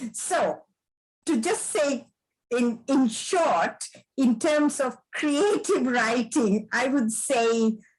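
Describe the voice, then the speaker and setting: Speaking at a very slow pace with very even loudness, a woman uses lively intonation at a high pitch. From Sri Lanka. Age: 70s. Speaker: author and retired academic. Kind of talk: interview answers.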